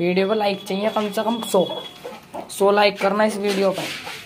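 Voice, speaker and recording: Against noticeable background noise, a woman speaks at a fairly slow pace with monotone, flat intonation. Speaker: poultry keeper vlogger. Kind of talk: casual vlog chat. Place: farm machine. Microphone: phone near.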